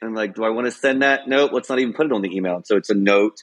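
With ordinary pitch variation, a man talks in a normal speaking voice. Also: quiet background. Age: 50s. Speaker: Air Force veteran and marketing executive. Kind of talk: interview.

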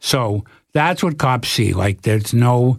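With a Canadian accent, a man in a plain, everyday voice talks at medium pitch with lively intonation on a very clean recording with a silent background. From Canada, Toronto. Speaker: documentary filmmaker. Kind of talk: casual interview.

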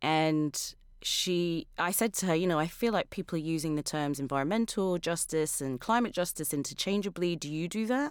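A woman's fairly low voice with lively intonation at a moderate pace, on a very clean recording with a silent background. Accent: British. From London, England. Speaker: climate podcast producer and advocate. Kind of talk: interview conversation.

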